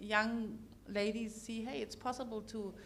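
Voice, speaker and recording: A somewhat breathy woman's voice. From Germany. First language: German. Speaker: corporate executive, panelist. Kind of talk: panel discussion. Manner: animated, repetitive fillers.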